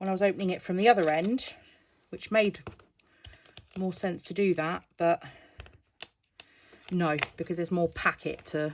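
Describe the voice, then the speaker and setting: A woman with a British accent, fairly low in pitch and fairly even in intonation, at a moderate pace broken by long, frequent pauses. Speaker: crafting youtuber. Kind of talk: casual tutorial. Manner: casual, hesitant with fillers.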